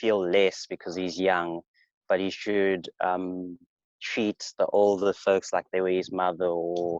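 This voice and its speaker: Very slowly and in a monotone, flat way, a man with a South African accent speaks at a very deep, low pitch, the sound dry and close with no echo. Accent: sounds South African. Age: 20s. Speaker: podcast guest. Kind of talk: casual chat. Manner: halting.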